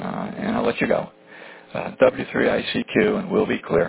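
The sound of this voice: A man speaks at a low pitch with vocal fry, a slightly husky edge and fairly even intonation. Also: moderate pace.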